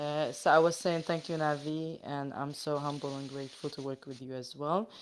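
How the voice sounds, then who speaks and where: With fairly even intonation, a woman speaks at a very deep, low pitch. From Palestine and Egypt. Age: 20s. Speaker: crypto community organizer. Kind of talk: casual chat. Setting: video call.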